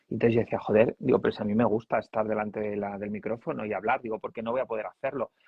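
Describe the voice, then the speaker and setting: A man talks at a very fast clip with hardly any pauses, his intonation staying fairly even. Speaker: journalist and communication coach. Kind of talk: casual chat. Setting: live stream.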